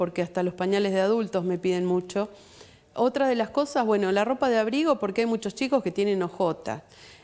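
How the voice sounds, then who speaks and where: A woman at a fairly quick pace, with very even loudness and ordinary pitch variation. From Argentina, Junín (Buenos Aires province); Buenos Aires province, Argentina. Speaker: guest. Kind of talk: TV interview. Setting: TV studio. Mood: earnest, concerned. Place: studio.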